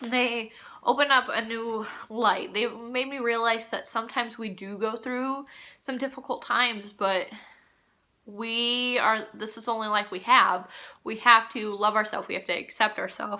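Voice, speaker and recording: Speaking in a Midwestern American accent, a woman has a fairly high pitch and a bright, sharp tone. Her pace is moderate and her intonation fairly even. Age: 20s. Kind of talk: casual talk to camera.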